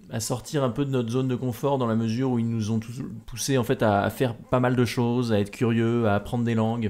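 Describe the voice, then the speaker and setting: On a very clean recording with a silent background, a man speaks fairly quickly at medium pitch in a dark, mellow tone with monotone, flat intonation. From France, Normandy. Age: 20s. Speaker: adventurer and speaker. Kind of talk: podcast interview. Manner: hesitant, many repetitions and fillers.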